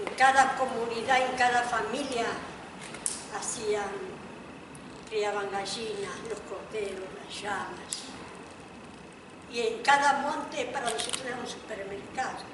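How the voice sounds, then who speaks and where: A woman with a fairly high voice speaks fairly slowly, leaving long, frequent pauses, her intonation fairly even. Her loudness swings widely amid audible room echo and noticeable background noise. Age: 50s. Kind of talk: audience comment.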